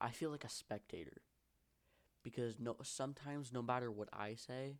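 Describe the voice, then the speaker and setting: A man of medium pitch talks at a fairly quick pace with fairly even intonation. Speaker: vlogger. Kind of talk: personal monologue vlog. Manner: fast; halting, tripping over words.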